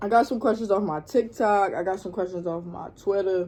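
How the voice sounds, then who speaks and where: A woman talks at a medium pitch in a Baltimore accent. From Baltimore, Maryland, US. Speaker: YouTube vlogger. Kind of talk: casual vlog Q&A. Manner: casual, filler-heavy.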